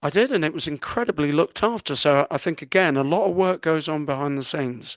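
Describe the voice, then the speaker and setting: Against a quiet background, a man with a southern English accent talks at a very fast pace and fairly high pitch, with ordinary pitch variation. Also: dry, close sound with no echo. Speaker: podcast co-host. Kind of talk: casual chat.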